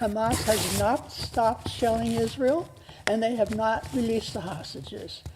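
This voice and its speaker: A woman mumbles at a fairly slow pace in a fairly high pitch. Noticeable background noise is present. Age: 90s. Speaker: public commenter. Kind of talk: public comment speech. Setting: city council meeting. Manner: mumbling; emotional.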